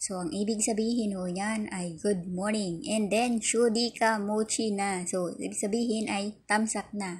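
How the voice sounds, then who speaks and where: A woman of medium pitch speaks at a very slow pace, somewhat breathy, with ordinary pitch variation. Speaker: YouTube vlogger. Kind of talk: tutorial. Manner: casual, filler-heavy.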